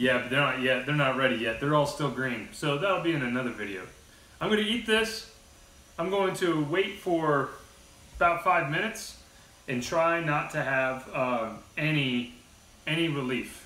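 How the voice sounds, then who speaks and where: Long, frequent pauses break up this man's speech. Audible room echo surrounds his voice. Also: moderate pace. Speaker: video host. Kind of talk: casual vlog chat. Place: home room. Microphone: camera far.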